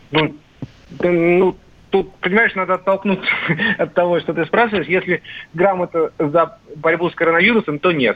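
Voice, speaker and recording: A man with a high voice speaks at a moderate pace with fairly even intonation. He takes long, frequent pauses. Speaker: political commentator. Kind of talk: radio discussion. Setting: phone call.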